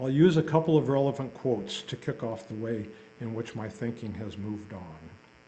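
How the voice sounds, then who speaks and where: Audible room echo surrounds a man who talks at a fairly quick pace with lively intonation. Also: medium pitch for a man, big swings in loudness. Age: 70s. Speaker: lay speaker. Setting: congregation service. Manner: formal.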